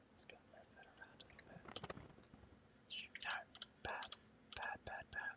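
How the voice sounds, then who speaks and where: Someone whispers over noticeable background noise. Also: man. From Australia. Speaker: 3D artist. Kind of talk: ASMR whispered tutorial. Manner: whispered, soft-spoken, slow.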